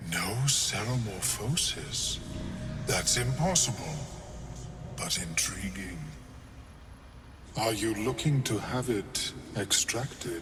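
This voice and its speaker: Using a put-on character voice at medium pitch, a man talks at a fairly slow pace with long, frequent pauses. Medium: video game. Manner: calm, measured, polite.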